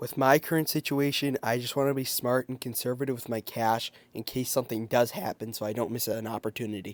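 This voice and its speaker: Using a put-on character voice that is raspy and medium-pitched, a man talks at a fairly quick pace with hardly any pauses on a very clean recording with a silent background. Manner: tired, plain investment talk.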